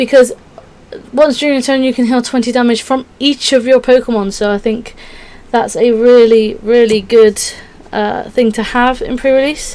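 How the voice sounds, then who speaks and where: A woman speaks with a high pitch and fairly even intonation. Noticeable background noise can be heard. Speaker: Pokémon card game YouTuber. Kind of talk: casual tutorial walkthrough. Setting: at home. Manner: fast.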